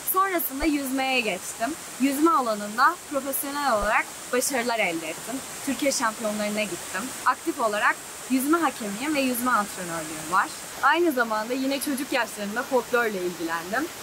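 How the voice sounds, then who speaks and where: Speaking at a moderate pace, a woman uses a high pitch and lively intonation. Noticeable background noise runs under her voice. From Erzurum, Turkey. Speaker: medical student; singer. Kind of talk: interview answer.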